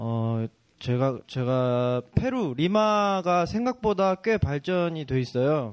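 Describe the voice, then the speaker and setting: A man talks at a very slow pace with a fairly high pitch and very wide pitch swings. The sound is dry and close with no echo, over a quiet background. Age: young. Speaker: photographer. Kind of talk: casual chat.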